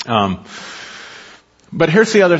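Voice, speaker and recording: Very wide swings mark this man's pitch. His pace is fairly quick. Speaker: pastor. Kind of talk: sermon. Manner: animated.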